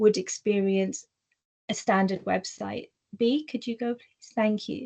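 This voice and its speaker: Somewhat breathy, a woman talks at a fairly slow pace with a fairly high pitch, fairly even intonation and a dark, mellow tone. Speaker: workplace diversity speaker. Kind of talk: webinar presentation. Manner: occasional word stumbles and fillers.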